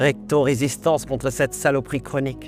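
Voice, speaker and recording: Over music in the background, a man talks at a moderate pace with fairly high pitch. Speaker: slam poet. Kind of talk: slam poetry performance.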